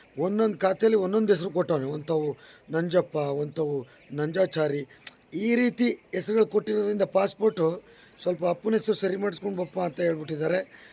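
A man with a high pitch and ordinary pitch variation, over noticeable background noise. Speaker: comedian and travel vlogger. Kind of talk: casual travel vlog.

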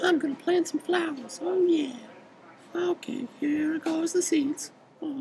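A cartoonish character voice speaks at a high pitch and a fairly slow pace. Long, frequent pauses break up the speech. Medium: puppet show. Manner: chatty, surprised.

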